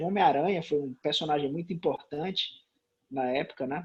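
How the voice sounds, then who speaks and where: In a quiet background, a somewhat breathy man talks at a fairly high pitch with ordinary pitch variation. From Brazil, Sobral, Ceará (Northeast). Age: 30s. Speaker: comic book writer. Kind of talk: casual interview chat.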